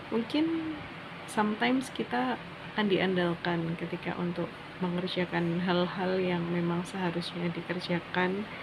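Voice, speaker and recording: A soft-spoken woman at a fairly slow pace, with ordinary pitch variation and noticeable background noise. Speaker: student vlogger. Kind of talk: personal monologue vlog. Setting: dormitory room at night.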